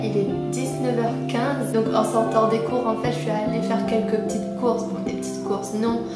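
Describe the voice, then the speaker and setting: With loud music in the background and audible room echo, a woman speaks at a moderate pace. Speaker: university student. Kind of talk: casual vlog talk to camera. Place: home room.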